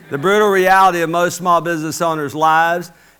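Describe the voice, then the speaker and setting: Talking at a very fast pace, a man has an animated tone that is bright and sharp. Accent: Alabama. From US South, Mobile, Alabama. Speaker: business coach. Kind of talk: motivational speech. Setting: stage with audience.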